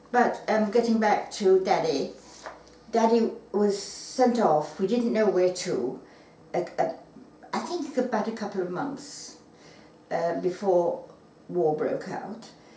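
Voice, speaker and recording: A woman's medium-pitched voice with lively intonation at a very slow pace, long frequent pauses, noticeable background noise and audible room echo. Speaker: wartime witness. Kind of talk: oral history interview. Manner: halting.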